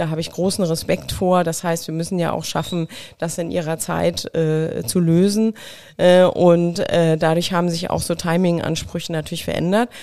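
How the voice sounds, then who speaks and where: A woman's fairly low-pitched, calm voice at a moderate pace. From Mecklenburg, eastern Germany. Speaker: creative agency owner. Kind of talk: interview conversation. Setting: host's studio.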